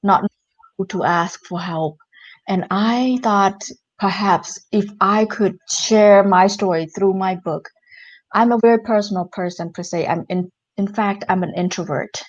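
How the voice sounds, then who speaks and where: Over a quiet background, a woman speaks with a non-native accent. Her voice sits at a medium pitch, with fairly even intonation and a fairly slow pace. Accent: non-native English speaker, limited English. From Cambodia. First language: Khmer. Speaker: entrepreneur and author. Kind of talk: interview.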